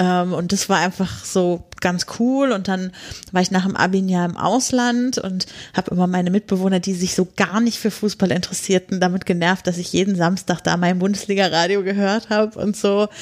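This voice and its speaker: A woman speaks at a medium pitch and a moderate pace. It is an ordinary speaking voice with fairly even intonation. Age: 30s. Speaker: podcaster. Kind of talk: casual interview. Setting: podcast conference.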